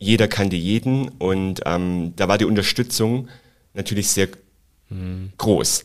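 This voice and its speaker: This man talks at a very slow pace with a fairly low pitch. His pitch varies in an ordinary way. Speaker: flight attendant. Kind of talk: casual interview.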